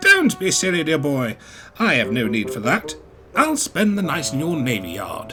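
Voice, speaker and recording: Over clear background music, a man uses a put-on character voice with a fairly high pitch. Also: moderate pace. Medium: read story. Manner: grand, formal, upper-class.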